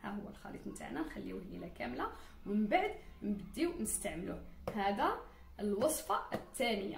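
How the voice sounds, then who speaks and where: Noticeable background noise and audible room echo surround a woman speaking at a moderate pace. Her loudness swings widely. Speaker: beauty and hair care vlogger. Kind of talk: tutorial. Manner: casual, with frequent restarts.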